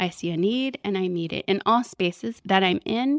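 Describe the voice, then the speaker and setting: A woman with an ordinary speaking voice and an American accent, at medium pitch and a moderate pace, with lively intonation, in a quiet background and a dry, close sound with no echo. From Southern California. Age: 30s. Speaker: spiritual director. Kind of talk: live podcast interview. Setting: stage with audience.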